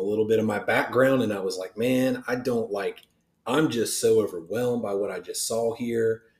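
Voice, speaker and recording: Fairly even intonation marks this man's medium-pitched speech in an Ohio accent. His pace is fairly quick. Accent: Midwestern American (Ohio). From southern Ohio. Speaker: pastor. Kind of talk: casual chat.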